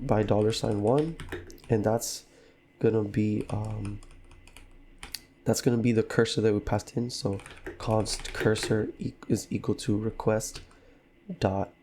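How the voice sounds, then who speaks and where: The speech is fairly slow and somewhat breathy, with fairly even intonation and long, frequent pauses. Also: man. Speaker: programmer. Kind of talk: coding tutorial narration.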